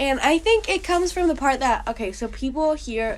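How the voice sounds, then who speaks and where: A woman with a slight Colombian accent, at a moderate pace. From Colombia, Bogotá. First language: Spanish. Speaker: university student. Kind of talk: interview. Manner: animated.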